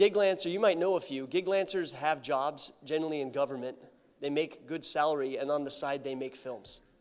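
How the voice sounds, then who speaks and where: A man speaks fairly quickly at a fairly high pitch, using ordinary pitch variation. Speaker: conference speaker, film researcher. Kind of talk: conference talk. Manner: fast; informal.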